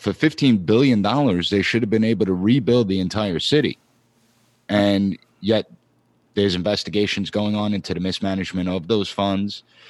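With an American accent and a normal speaking voice, a man talks at a fairly quick pace and a fairly low pitch, using ordinary pitch variation. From Long Island, New York. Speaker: political science professor. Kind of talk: interview.

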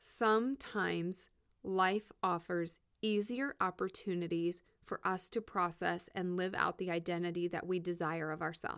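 On a very clean recording with a silent background, a woman talks at a fairly slow pace in a fairly low pitch. She has an unremarkable speaking voice and fairly even intonation. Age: 30s. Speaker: podcast host and therapist. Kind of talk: solo reflective monologue. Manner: conversational with fillers.

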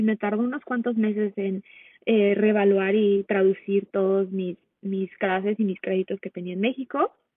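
Speaking at a fairly slow pace, a woman uses a medium pitch. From Mexico. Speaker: holistic nutrition coach. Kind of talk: casual interview chat.

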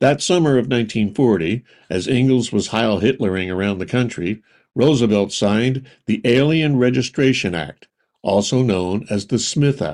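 A man talks in a normal speaking voice at medium pitch, with lively intonation and a moderate pace. The recording is very clean, with a silent background. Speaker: podcast narrator. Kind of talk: true-crime narration. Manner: measured, storytelling delivery with dry, wry edge; clear, even-paced, authoritative.

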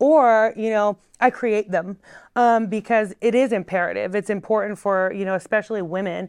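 With an American accent, a woman speaks in an ordinary speaking voice at a medium pitch. Her pace is moderate, her intonation is fairly even, and the background is quiet. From North Carolina and Oregon. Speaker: community activist. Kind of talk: interview. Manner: casual with many fillers.

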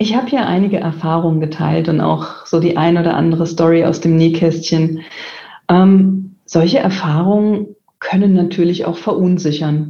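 An unremarkable speaking voice keeps fairly even intonation and very even loudness at a moderate pace. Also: woman, fairly low pitch for a woman. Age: 40s. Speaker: IT executive. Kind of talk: interview. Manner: frequent filler sounds.

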